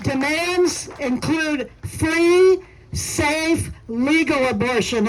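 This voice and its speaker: A woman speaks over noticeable background noise. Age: 70s. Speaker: activist. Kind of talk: rally speech.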